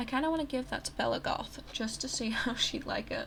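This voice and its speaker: Quiet and at a moderate pace, a woman talks with lively intonation over noticeable background noise. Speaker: gaming YouTuber. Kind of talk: casual gameplay commentary. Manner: quiet, hushed; halting, many fillers. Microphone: poor audio.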